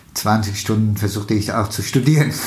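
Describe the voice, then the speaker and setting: A man with a Turkish accent at a fairly slow pace, with audible room echo. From Turkey, Istanbul. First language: Turkish (speaking German). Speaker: state politician. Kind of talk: interview. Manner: halting, many fillers.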